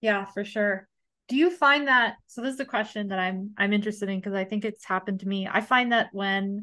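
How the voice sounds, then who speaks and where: Speaking with an American accent over a quiet background, a woman has a medium-pitched voice with a bright, sharp tone. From United States. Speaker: podcast host. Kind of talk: casual interview.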